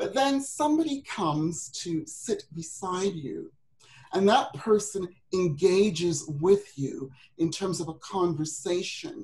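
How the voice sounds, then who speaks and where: A woman talks at a very slow pace, her pitch swinging very widely. Her voice is somewhat breathy. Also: medium pitch for a woman. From Britain. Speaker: women's business coach. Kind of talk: webinar presentation. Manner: halting, many fillers.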